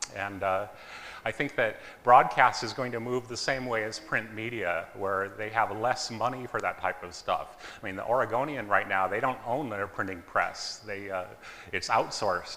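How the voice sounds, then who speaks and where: Loud and bright with a sharp edge, a man's fairly low voice moves at a moderate pace with ordinary pitch variation and audible room echo. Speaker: engineer and startup co-founder presenting. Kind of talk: conference talk.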